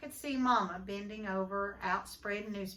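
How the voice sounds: This is a natural reading voice. It reads the text through.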